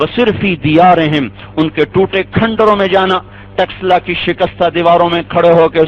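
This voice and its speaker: A man with a high-pitched voice talks as noticeable background noise carries on. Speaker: Islamic scholar preacher. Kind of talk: Islamic sermon (bayaan).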